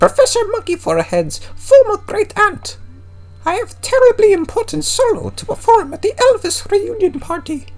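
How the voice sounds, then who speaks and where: This put-on character voice sits at an extremely high pitch. It moves at a moderate pace. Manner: theatrical, dramatic.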